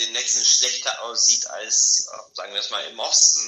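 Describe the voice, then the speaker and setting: A man speaks at a moderate pace with a Bulgarian accent. Audible room echo can be heard. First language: Bulgarian (speaking German). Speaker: internet policy advocate. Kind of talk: interview.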